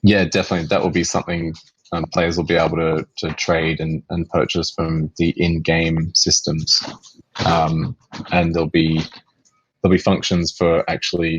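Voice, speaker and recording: A man with an Australian accent and a very deep, low pitch, monotone and flat at a moderate pace, in a dry, close sound with no echo. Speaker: game company executive answering community questions. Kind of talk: live Q&A on voice chat. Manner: hesitant, many fillers and repeats.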